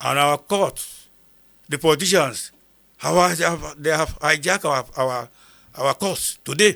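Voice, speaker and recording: With a northern Nigerian accent, a man speaks fairly slowly at a fairly high pitch, with ordinary pitch variation and long, frequent pauses. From northern Nigeria, Kogi State (Igala). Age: 70s. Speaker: retired army sergeant major, war veteran. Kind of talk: interview testimony. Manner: repetitive, emphatic.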